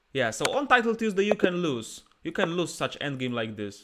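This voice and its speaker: At a fairly slow pace, a man speaks with very wide swings in pitch. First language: Polish. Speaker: chess streamer and player. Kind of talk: live chess commentary. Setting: live stream with chat. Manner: animated.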